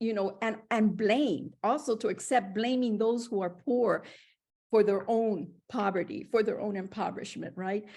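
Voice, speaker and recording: Dark, mellow tone and ordinary pitch variation against a quiet background. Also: woman, fairly high pitch for a woman, moderate pace. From Puerto Rico. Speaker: professor. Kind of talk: academic dialogue. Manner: animated.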